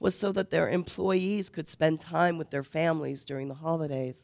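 Against a quiet background, a woman talks at a fairly slow pace in an ordinary speaking voice. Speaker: preacher. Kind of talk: sermon. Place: church.

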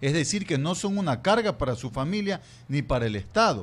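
A man speaks at a fairly high pitch with very wide pitch swings. His voice is somewhat breathy. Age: old. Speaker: journalist turned political candidate; candidate. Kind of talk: radio interview. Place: studio. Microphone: studio mic.

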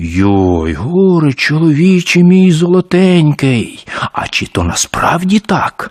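Recorded dry and close with no echo, this voice moves at a fairly slow pace, sitting at a middle pitch while swinging very widely up and down. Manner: exclaiming, alarmed.

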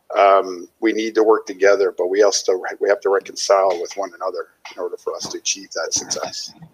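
At a very fast pace, a man speaks with a Canadian accent over light background noise. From northern British Columbia coast, Canada. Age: 40s. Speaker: guest. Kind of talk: interview. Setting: video call from home kitchen. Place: home room. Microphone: headset.

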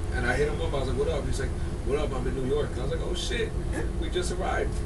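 A man speaks with loud background noise behind him. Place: bus. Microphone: phone near.

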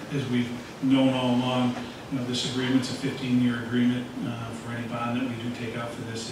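A medium-pitched man speaks fast-ish in a monotone, flat intonation. Audible room echo and clear background noise surround him.

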